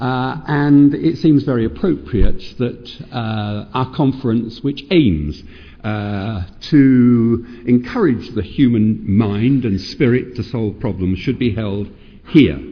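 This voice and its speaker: A man with a British accent speaks very slowly at a medium pitch with lively intonation. There is audible room echo. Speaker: professor of child psychiatry. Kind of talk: lecture. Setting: stage with audience. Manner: halting.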